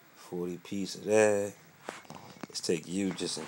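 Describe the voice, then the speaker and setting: Noticeable background noise sits behind a man whose very deep, low voice moves at a fairly slow pace. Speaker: gaming YouTuber. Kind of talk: casual gameplay commentary. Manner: casual, upbeat.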